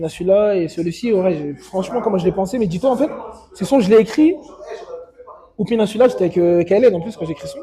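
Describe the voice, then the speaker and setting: A man's high voice, very fast and lively yet broken by long, frequent pauses, over noticeable background noise. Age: young. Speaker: rapper. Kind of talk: casual interview.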